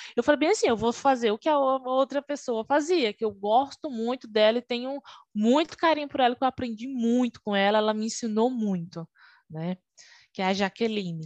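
A woman with a normal speaking voice speaks at a fairly high pitch with lively intonation. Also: moderate pace. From Brazil, Alagoas (Northeast). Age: 20s. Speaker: Scrum Master, former QA analyst. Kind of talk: interview.

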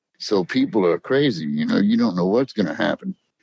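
A man with a Louisiana accent speaks at a fairly quick pace. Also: dry, close sound with no echo. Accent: US South, Louisiana. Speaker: witness. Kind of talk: interview storytelling. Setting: phone call.

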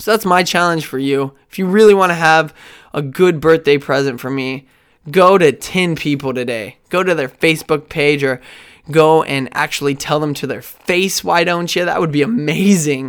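An animated man with an American accent, fairly high in pitch, at a moderate pace with ordinary pitch variation. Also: very clean recording, silent background. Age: 20s. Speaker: podcast host. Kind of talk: solo monologue.

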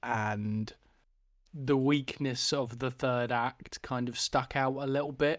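Speaking very slowly in a British accent, a man holds a medium pitch and fairly even intonation on a very clean recording with a silent background. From UK. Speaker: film podcast co-host. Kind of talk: casual chat.

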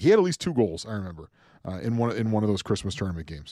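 In a very clean recording with a silent background, a man speaks at a medium pitch with lively intonation. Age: 30s. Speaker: hockey podcast co-host. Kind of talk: casual chat.

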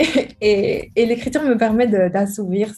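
Her tone is dark and mellow, somewhat breathy, with ordinary pitch variation. The woman speaks at a very slow pace. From Belgium, Charleroi. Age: 20s. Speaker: writer. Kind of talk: interview.

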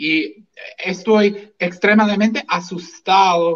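Speaking with an English accent, a man uses a high pitch and fairly even intonation. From US, Washington state. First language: English (speaking Spanish). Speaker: physician and libertarian activist. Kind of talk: political talk show interview. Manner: halting, repeats words.

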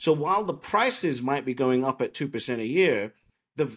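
Over a silent background in a very clean recording, a man with an English accent speaks at a moderate pace, fairly high in pitch and with lively intonation. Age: 30s. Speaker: bitcoin commentator and entrepreneur. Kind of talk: podcast interview.

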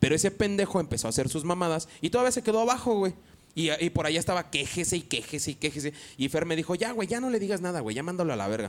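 A man speaks at a very fast pace. His pitch is high and swings very widely. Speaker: podcast host. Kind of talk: casual chat.

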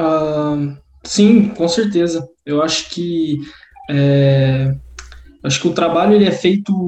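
A man speaks with fairly even intonation at a fairly high pitch. It is a plain, everyday voice. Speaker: professional tennis player. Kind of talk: interview.

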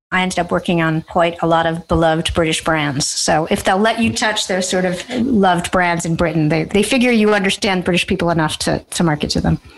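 The speaker has an American accent and talks at a fairly quick pace with hardly any pauses. Loudness stays very even, and there is noticeable background noise. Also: woman, fairly low pitch for a woman, ordinary pitch variation. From United States. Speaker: advertising strategist. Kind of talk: interview.

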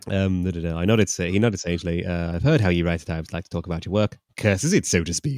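In a southern English accent, a man with a very deep, low pitch speaks at a very fast pace with hardly any pauses and ordinary pitch variation, in a very clean recording with a silent background. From England, Cambridge. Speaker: podcast host. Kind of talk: casual comedic chat.

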